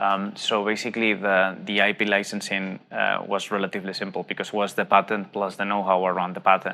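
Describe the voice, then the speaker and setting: A man with a Spanish accent, fairly low-pitched with a bright, sharp tone, flat monotone intonation, a fairly quick pace and hardly any pauses. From Spain. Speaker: tech startup CEO. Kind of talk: interview. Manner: hesitant, many fillers.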